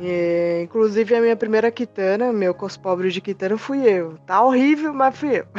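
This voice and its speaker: Her pitch is fairly high, and her intonation is lively. There is noticeable background noise, and she hardly pauses. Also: moderate pace. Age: 30s. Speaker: cosplayer and event organizer. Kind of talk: casual chat.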